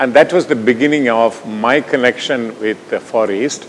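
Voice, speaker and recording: A man with a Tamil accent at a moderate pace, with noticeable background noise. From India, Tamil Nadu. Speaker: scientist presenting research. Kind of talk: lecture.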